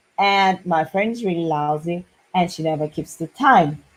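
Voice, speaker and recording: With ordinary pitch variation, an ordinary speaking voice proceeds at a fairly slow pace. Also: woman. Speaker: business consultant and marketing coach. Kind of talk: business advice talk to camera.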